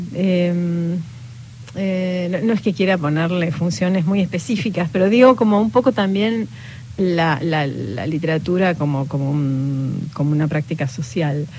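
A woman with an Argentine accent, a fairly low pitch, a dark, mellow tone and a fairly slow pace. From Patagonia, Argentina. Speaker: novelist. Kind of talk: interview. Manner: halting.

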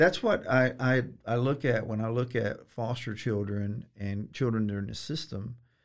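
A man's medium-pitched voice at a moderate pace, an ordinary speaking voice with ordinary pitch variation. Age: 50s. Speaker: attorney. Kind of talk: casual interview.

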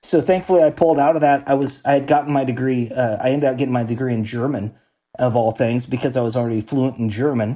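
In an American accent, a man races along at a very fast pace with a dark, mellow tone and fairly even intonation, on a very clean recording with a silent background. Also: medium pitch for a man. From Oregon, US Pacific Northwest. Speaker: real estate investor and business owner. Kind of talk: interview.

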